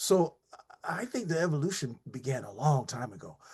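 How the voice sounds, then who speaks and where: Over a quiet background, an American man with a fairly high pitch speaks at a moderate pace. His voice is somewhat breathy. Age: 60s. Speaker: jazz drummer and teacher. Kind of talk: interview. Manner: halting.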